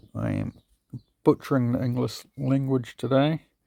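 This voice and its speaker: A man with a New Zealand accent mumbles at a moderate pace in a dark, mellow tone. The sound is dry and close with no echo. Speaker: police auditor / copwatch videographer. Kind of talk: casual explainer reading from law text. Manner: mumbling.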